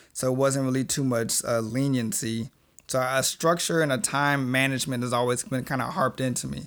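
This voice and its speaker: A man with an ordinary speaking voice talks at a fairly quick pace, medium in pitch, with fairly even intonation. The recording is very clean, and the background is silent. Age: 20s. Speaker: podcast co-host. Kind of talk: casual chat.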